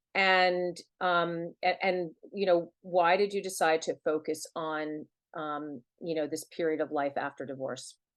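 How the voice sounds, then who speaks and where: A woman speaks in an unremarkable speaking voice at a fairly low pitch. Her pace is fairly slow, her intonation fairly even, and the background quiet. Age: 50s. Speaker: novelist and former divorce lawyer interviewing the host. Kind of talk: interview conversation.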